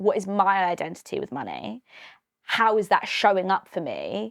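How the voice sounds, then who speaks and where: A woman talks at a moderate pace with a medium pitch. The sound is dry and close, without any echo. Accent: British. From Britain. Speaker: financial wellbeing coach. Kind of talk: podcast interview.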